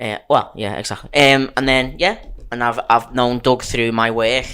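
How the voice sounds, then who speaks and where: A man with a Liverpool accent and a bright, sharp tone speaks fairly slowly at a medium pitch with fairly even intonation. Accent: Liverpool (Scouse). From Liverpool, England. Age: 30s. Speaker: stuntman. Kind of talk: casual chat.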